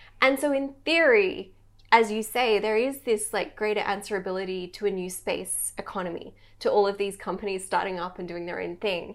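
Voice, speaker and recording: With an Australian accent, a woman speaks at a fairly quick pace and medium pitch, with ordinary pitch variation. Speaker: podcast host. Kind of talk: interview.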